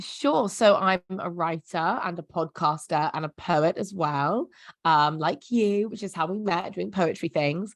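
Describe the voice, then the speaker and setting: Over a quiet background with a dry, close sound and no echo, a woman speaks at a fairly slow pace in a fairly low pitch with ordinary pitch variation. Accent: London. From South London, England. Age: 20s. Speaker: writer and poet. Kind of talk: casual chat.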